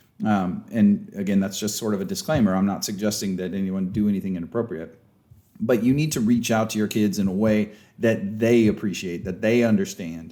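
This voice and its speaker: A man's fairly low, dark, mellow voice with fairly even intonation, a fairly quick pace, and audible room echo. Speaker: sports coach and leadership trainer. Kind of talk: lecture. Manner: loud; casual, conversational.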